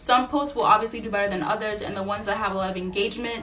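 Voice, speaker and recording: Light noise sits in the background. Over it, a woman talks. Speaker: small business owner and online educator. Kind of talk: tutorial. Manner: fast talker. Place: home room. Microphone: phone near.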